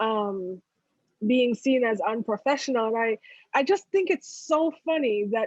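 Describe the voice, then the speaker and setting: A woman's fairly high voice with an American accent, dry and close with no echo. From outside the US. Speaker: podcast co-host. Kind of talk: casual chat.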